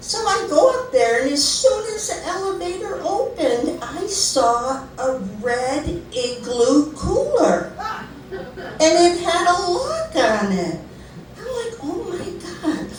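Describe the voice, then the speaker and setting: A woman's extremely high-pitched voice with very wide pitch swings at a very slow pace, amid audible room echo and noticeable background noise. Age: 60s. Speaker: storyteller. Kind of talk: storytelling.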